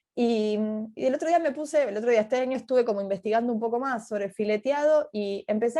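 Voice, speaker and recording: Talking at a very fast pace, a woman uses lively intonation and a fairly high pitch. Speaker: historian and teacher giving a talk. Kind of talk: online talk Q&A. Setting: video call.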